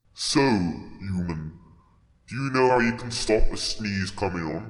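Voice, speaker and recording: Over audible echo, a man puts on a character voice, fairly low in pitch and fairly slow in pace. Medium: audio drama. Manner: gruff, blunt, folksy.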